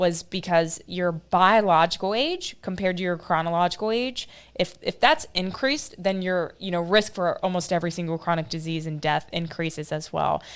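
A woman with an American accent speaks at a moderate pace in a fairly low pitch with ordinary pitch variation, a plain, everyday voice. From US Midwest (Ohio, north of Dayton). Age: 20s. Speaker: molecular biologist. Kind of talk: interview. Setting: video call.

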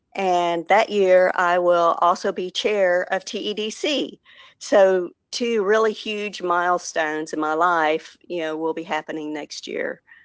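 In a Texan accent, the speaker goes at a very slow pace with ordinary pitch variation. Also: woman, medium pitch for a woman. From Texas. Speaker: economic development professional. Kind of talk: interview.

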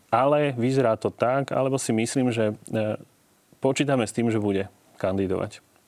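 At a moderate pace, a man talks in a medium pitch with fairly even intonation, broken by long, frequent pauses. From central Slovakia. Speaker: political scientist. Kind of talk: TV talk show interview.

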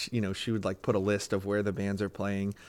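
A man with a Western Pennsylvania accent at a fairly quick pace, on a very clean recording with a silent background. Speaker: blues musician and real estate agent. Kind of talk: casual chat.

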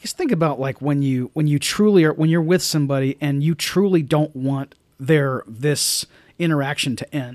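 In a dry, close sound with no echo, a man with a plain, everyday voice talks at a moderate pace in a fairly high pitch with ordinary pitch variation. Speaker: podcast host. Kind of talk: casual chat about movies.

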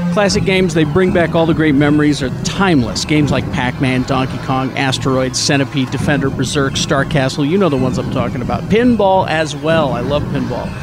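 A man's fairly high-pitched voice at a fairly quick pace, with very even loudness, ordinary pitch variation and noticeable background noise. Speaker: podcast host. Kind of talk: casual chat.

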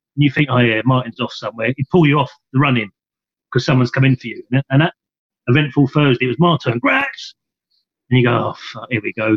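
Talking at a very fast pace, a man with an English accent and a medium pitch sounds somewhat breathy, with fairly even intonation. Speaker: former footballer. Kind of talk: casual chat.

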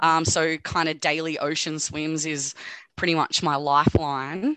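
Speaking with an Australian accent, a woman's voice sits fairly low in pitch. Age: 30s. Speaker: nursing student. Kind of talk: casual chat. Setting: video call.

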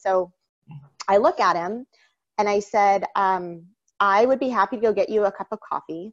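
A woman's normal speaking voice, medium in pitch, with ordinary pitch variation and a dry, close sound free of echo. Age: 30s. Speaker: entrepreneur and congressional candidate. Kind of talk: interview.

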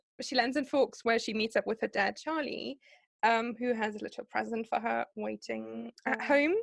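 A moderate-paced woman's voice, dry and close-sounding with no echo. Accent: German. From Germany. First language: German. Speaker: podcast co-host. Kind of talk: casual chat. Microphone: poor audio quality, before better microphones.

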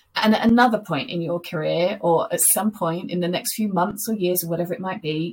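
The speech moves at a fairly quick pace with ordinary pitch variation. The voice sounds somewhat breathy. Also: woman. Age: 40s. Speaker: corporate inclusion executive. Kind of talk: interview.

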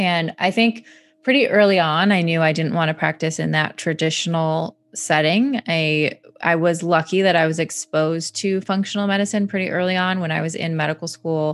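A woman's unremarkable speaking voice in an American accent, fairly low in pitch, with ordinary pitch variation and a moderate pace. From Michigan, US Midwest. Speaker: physician. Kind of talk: interview.

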